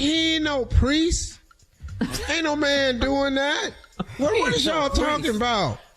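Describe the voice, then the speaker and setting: In a raised, projected voice with an animated tone, a man speaks at a fairly slow pace, his extremely high pitch showing ordinary variation. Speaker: radio morning show host. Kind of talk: radio morning show banter. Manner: animated, emphatic, joking.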